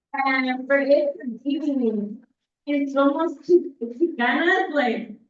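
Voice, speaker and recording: Her pitch high, a woman talks with very wide pitch swings. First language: Spanish. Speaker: poet. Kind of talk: casual chat.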